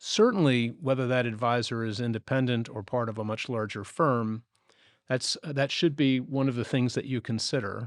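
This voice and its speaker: A man speaks in an unremarkable speaking voice at medium pitch and moderate pace, with fairly even intonation, on a very clean recording with a silent background. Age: 60s. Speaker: financial planner, podcast co-host. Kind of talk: podcast conversation.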